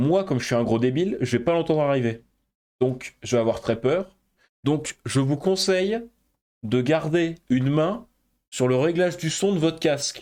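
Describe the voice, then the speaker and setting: On a very clean recording with a silent background, a man with a fairly high voice uses lively intonation and very even loudness, leaving long, frequent pauses. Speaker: gaming streamer. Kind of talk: let's play commentary.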